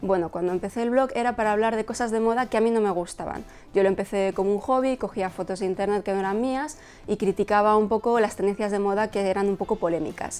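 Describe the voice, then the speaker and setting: Talking at a very fast pace with fairly even intonation, a woman speaks in a Madrid accent. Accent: Castilian Spanish (Madrid). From Spain, Madrid. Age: 30s. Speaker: fashion blogger and YouTuber. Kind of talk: personal vlog to camera. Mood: cheerful, warm. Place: home room. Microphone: lapel.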